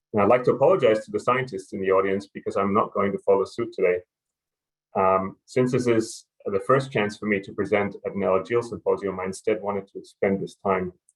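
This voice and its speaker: With a German accent, a man speaks at a fairly quick pace in a fairly low pitch, his intonation fairly even against a quiet background. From Germany. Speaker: pharma research scientist. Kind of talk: conference presentation.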